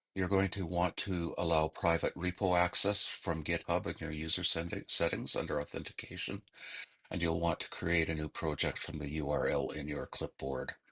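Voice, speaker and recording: Vocal fry runs through a man's very deep, low voice, his intonation fairly even. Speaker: instructor. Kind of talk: tutorial. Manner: slow.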